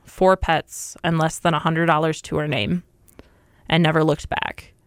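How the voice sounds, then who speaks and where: A woman with an American accent and an unremarkable speaking voice, fairly low pitch, fairly even intonation, dry, close sound with no echo, and a very clean recording with a silent background. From Minnesota, US Midwest. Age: 20s. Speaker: corrections officer. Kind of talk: interview testimony.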